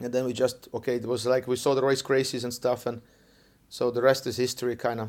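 Speaking at a very fast pace, a man with an Estonian accent holds a medium pitch in a monotone, flat delivery. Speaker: jiu-jitsu coach. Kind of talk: interview. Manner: halting.

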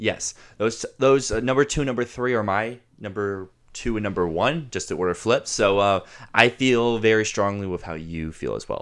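A man with a normal speaking voice and an American accent speaks at medium pitch and a moderate pace, with ordinary pitch variation, in a very clean recording against a silent background. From Virginia, US. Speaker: podcast co-host, film enthusiast. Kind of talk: casual chat.

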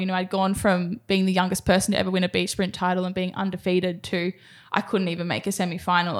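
In a very clean recording with a silent background, a woman with an Australian accent speaks at a very fast pace in monotone, flat intonation. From Australia, Sydney (Cronulla). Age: 20s. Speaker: professional sprinter. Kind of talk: casual interview.

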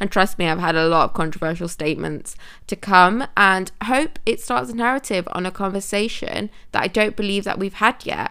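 A woman speaks at a moderate pace with a bright, sharp tone, a medium pitch and ordinary pitch variation. The recording is very clean, with a silent background. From England, Manchester. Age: 20s. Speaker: podcast host. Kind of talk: podcast intro monologue.

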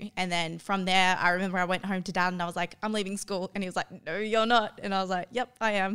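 Speaking very fast with hardly any pauses, a woman with an Australian accent has a medium pitch, a bright, sharp tone and flat, monotone intonation on a very clean recording with a silent background. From Australia, New South Wales (Tamworth). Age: 20s. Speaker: gym owner and personal trainer. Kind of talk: casual interview.

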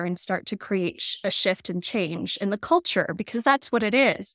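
A woman's normal speaking voice at medium pitch with a General American accent, moderate pace, dry, close sound with no echo, and a very clean recording with a silent background. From Colorado. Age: 40s. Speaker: yoga and meditation teacher. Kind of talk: interview.

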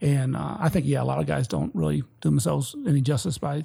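Talking at a very fast pace, a man with an American accent uses very wide pitch swings and vocal fry. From Detroit, Michigan. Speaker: military veteran. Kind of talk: casual chat.

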